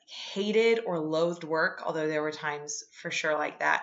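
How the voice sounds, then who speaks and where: A woman's fairly low voice, an ordinary speaking voice with lively intonation at a moderate pace. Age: 20s. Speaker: podcast host, homemaker. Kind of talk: solo podcast monologue, devotional talk.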